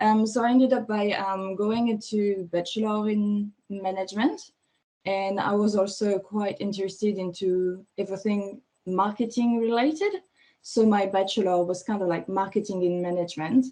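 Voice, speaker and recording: In a French accent, a woman speaks at a medium pitch and a moderate pace. Her tone is dark and mellow, and her intonation fairly even. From France. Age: 30s. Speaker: fashion stylist. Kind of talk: interview.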